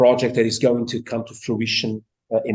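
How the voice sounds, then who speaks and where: Speaking in a monotone, flat way, this man has a medium-pitched voice and a Portuguese accent. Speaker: seminar chair introducing speaker. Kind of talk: formal introduction. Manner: halting, many fillers.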